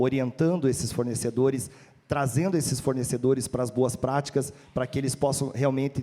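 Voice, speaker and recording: This man has an unremarkable speaking voice, with medium pitch and a moderate pace. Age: 30s. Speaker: supermarket executive. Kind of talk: panel discussion.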